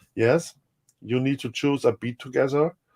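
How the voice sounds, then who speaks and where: A man speaks with a German accent in a dark, mellow tone. The sound is dry and close with no echo, and his fairly even intonation moves at a moderate pace. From Germany. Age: 50s. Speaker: music producer. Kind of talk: interview. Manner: halting.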